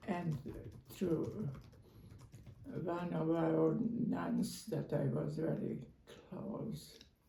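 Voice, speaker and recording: A woman speaks with a Croatian accent. Her pace is very slow, broken by long, frequent pauses. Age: 80s+. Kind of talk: interview answer. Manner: hesitant, halting.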